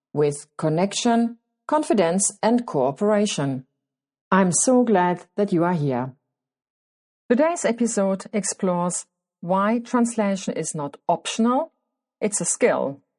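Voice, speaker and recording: A woman speaks in a medium pitch at a fairly slow pace with very wide pitch swings. Long, frequent pauses break up her speech. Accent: non-native. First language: German. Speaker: podcast host, clinician working with children. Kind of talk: scripted podcast monologue.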